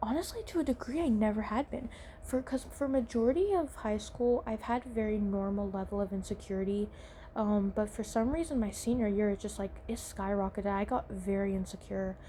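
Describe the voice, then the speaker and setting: Woman with an American accent, fairly high and somewhat breathy, dark and mellow in tone, fairly quick, with ordinary pitch variation. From US South. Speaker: podcaster. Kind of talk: casual chat. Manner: animated.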